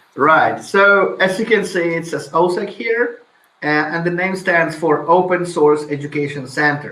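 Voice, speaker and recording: A man with a fairly high pitch talks at a moderate pace with lively intonation. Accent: Polish. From Poland. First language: Polish. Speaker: IT instructor. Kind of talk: interview.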